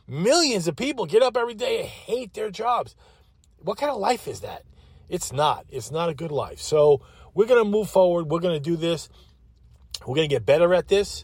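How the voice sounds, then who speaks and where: A man at a moderate pace, high-pitched for a man, with very wide pitch swings, an animated tone and a Long Island accent. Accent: New York (Long Island). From Long Island, New York. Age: 60s. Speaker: podcast host. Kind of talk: solo monologue. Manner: halting, many fillers.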